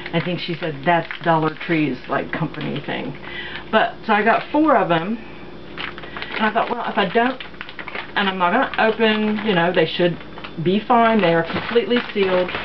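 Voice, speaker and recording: Over noticeable background noise, a woman speaks at a moderate pace with lively intonation. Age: 50s. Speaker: craft and shopping video creator; shopping video creator. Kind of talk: casual haul vlog. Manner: casual with many fillers. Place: home room. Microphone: phone near.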